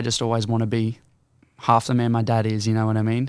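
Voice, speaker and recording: A man with an Australian accent. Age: 18. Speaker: singer-songwriter. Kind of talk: casual interview.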